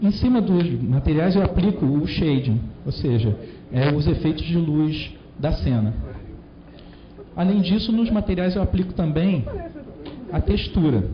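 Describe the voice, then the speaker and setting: Lively intonation from a high-pitched man at a fairly slow pace, with long, frequent pauses, very even loudness and noticeable background noise. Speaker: conference speaker. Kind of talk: technical talk.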